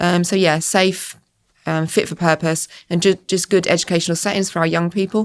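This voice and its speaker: A woman with an Essex accent, fairly low-pitched, in a flat monotone, on a very clean recording with a silent background. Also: fairly quick pace. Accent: southern English, Essex twang. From Essex, southern England. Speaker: school estates manager. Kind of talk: podcast interview. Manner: hesitant, many fillers.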